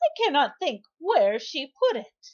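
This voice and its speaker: A put-on character voice at a fairly slow pace, full of very wide pitch swings. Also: woman. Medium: read story. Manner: fussy, dramatic.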